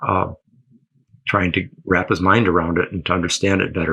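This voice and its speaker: A man with an American accent speaks at a fairly quick pace with a very deep, low pitch. His tone is bright and sharp, his intonation fairly even. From Michigan, US Midwest. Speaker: historian and astrologer. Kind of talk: interview. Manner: halting, many fillers.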